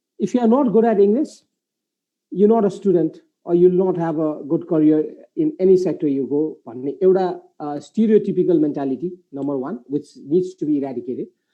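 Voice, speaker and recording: Talking at a fairly quick pace, a man with a Nepali accent uses a high voice and lively intonation. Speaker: moderator of live business webinar. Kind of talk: live panel discussion.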